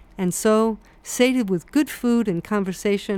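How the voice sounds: A natural reading voice, pitch rising and falling in an ordinary way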